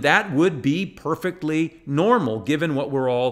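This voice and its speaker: The background stays quiet. A man speaks at a moderate pace, his intonation lively. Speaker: pastor. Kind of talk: sermon.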